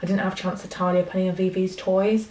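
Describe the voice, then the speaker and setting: Over light background noise and audible room echo, a woman speaks at a fairly quick pace. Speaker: vlogger. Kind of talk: casual vlog chat. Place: home room. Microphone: phone near.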